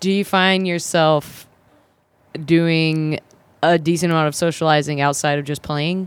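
A woman with an American accent speaks at a very deep, low pitch in a monotone, flat intonation. Her pace is fairly slow, with long, frequent pauses. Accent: slight Southern, mostly flattened. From South Carolina.

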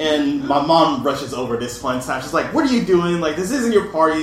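Noticeable background noise runs under a man speaking. He talks at a fairly quick pace with lively intonation. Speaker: writer and artist. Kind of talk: storytelling live.

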